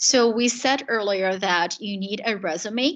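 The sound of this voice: A woman speaks with a fairly bright tone and ordinary pitch variation.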